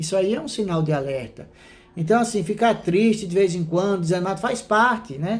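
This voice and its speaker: Pitched high for a man, his voice moves at a fairly quick pace with ordinary pitch variation. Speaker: Sunday school teacher. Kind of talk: Bible study lesson. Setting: recorded at home, online class. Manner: fast; conversational.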